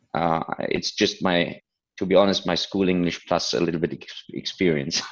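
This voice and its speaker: Using a very deep, low pitch, a man with a non-native accent speaks with fairly even intonation. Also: moderate pace. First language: not English. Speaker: business consultant. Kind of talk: interview. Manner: halting.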